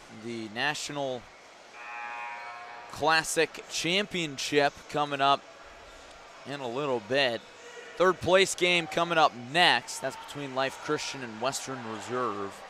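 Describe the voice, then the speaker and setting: Amid noticeable background noise, a man speaks very slowly at a fairly high pitch, with long, frequent pauses, ordinary pitch variation and big swings in loudness. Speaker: basketball play-by-play commentator. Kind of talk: live sports broadcast. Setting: gymnasium broadcast booth.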